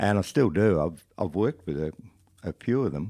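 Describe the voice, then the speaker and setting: With an Australian accent, a man with a fairly low pitch speaks at a fairly slow pace in a dark, mellow, relaxed tone with lively intonation, dry and close with no echo on a very clean recording with a silent background. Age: 70s. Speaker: country and roots musician. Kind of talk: casual interview chat. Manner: relaxed, halting with fillers.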